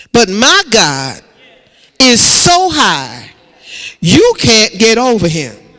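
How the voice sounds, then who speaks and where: A man speaks at a very slow pace. His voice is raised and projected. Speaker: pastor. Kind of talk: sermon delivered to a congregation.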